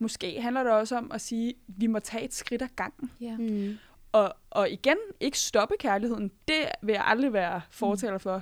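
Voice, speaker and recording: A woman with a fairly high pitch and ordinary pitch variation speaks at a moderate pace in an ordinary speaking voice, on a very clean recording with a silent background. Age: 20s. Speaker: podcast panelist. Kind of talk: casual chat. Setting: studio.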